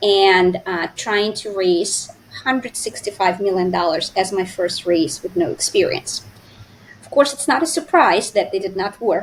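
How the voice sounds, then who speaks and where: In a Russian accent, a woman at medium pitch speaks at a fairly slow pace with lively intonation and big swings in loudness over noticeable background noise. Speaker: finance expert and entrepreneur. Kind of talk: interview. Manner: hesitant with fillers.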